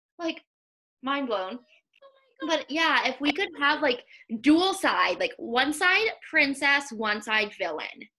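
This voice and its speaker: A raised, projected voice with a bright, sharp tone, very wide pitch swings, a very slow pace and long, frequent pauses. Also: woman, high pitch for a woman. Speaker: podcast host and running coach. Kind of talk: casual interview chat. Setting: video call.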